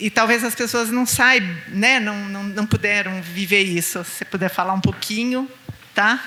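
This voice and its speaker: A woman speaks at a moderate pace and medium pitch, her intonation fairly even. Her loudness swings widely, and there is noticeable background noise. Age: 60s. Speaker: audience member. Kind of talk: audience question. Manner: halting.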